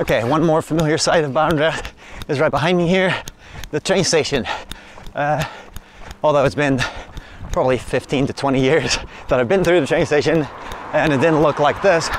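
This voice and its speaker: A man talks at a moderate pace with fairly even intonation and long, frequent pauses. The sound is dry with no echo, though light background noise is present. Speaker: runner vlogger. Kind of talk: casual vlog chat. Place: street. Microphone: phone near.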